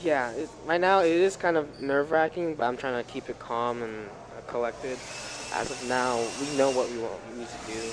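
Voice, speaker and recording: The man speaks at a fairly quick pace while noticeable background noise runs underneath. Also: medium pitch for a man, ordinary pitch variation. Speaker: speedsoft player. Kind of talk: casual interview. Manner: halting.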